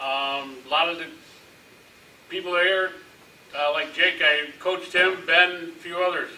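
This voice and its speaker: Amid noticeable background noise and audible room echo, a man with a high pitch talks at a fairly slow pace with fairly even intonation and long, frequent pauses. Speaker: city council member and coach. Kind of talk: candidate statement at public forum. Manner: halting, many fillers.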